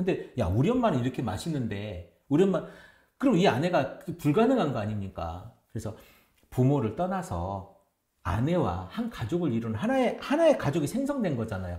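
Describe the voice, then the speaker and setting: Over a quiet background with audible room echo, a man speaks at a moderate pace with a fairly high pitch and very wide pitch swings. His tone is dark and mellow, with vocal fry. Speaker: pastor. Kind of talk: casual chat. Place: studio.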